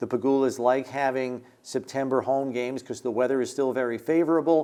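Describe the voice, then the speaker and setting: A man with a normal speaking voice, fairly high in pitch, with fairly even intonation at a fairly quick pace. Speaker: radio play-by-play announcer. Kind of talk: sports show analysis.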